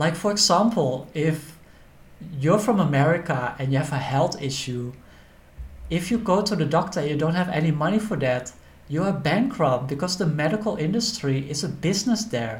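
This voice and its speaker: A man talks with lively intonation in a fairly high voice. Audible room echo fills the recording. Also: moderate pace. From Netherlands. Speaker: accountant and finance educator. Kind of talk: educational monologue.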